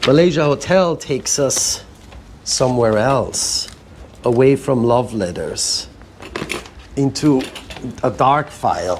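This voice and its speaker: Amid noticeable background noise, a man of medium pitch speaks at a very slow pace with long, frequent pauses. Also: ordinary pitch variation. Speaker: museum founder and curator. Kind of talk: spoken word reading of letters. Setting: live event.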